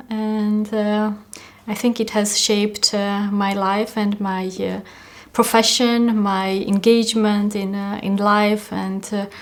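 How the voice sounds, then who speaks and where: Someone with an Armenian accent speaks at a very slow pace in a monotone, flat intonation. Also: woman, medium pitch for a woman. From Armenia, small city. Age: 40s. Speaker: peace activist. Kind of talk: interview testimony. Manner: halting, many fillers.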